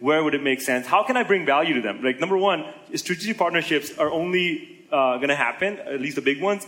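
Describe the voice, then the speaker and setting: Over noticeable background noise, a man speaks at a very fast pace with lively intonation. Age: 20s. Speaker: entrepreneur and blogger. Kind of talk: interview on conference stage.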